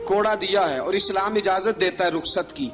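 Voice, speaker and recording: Music plays behind this man. His voice sits high in pitch. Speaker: Islamic preacher. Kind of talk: religious sermon recounting early Islamic history. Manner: emotional, dramatic storytelling.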